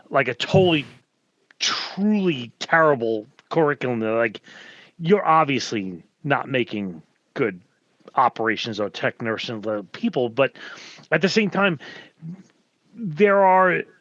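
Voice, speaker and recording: A man with a New York accent speaks at a fairly slow pace with long, frequent pauses, his fairly high pitch swinging very widely. The sound is dry and close with no echo, over a quiet background. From New York area. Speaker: hazmat instructor and firefighter. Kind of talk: casual panel discussion.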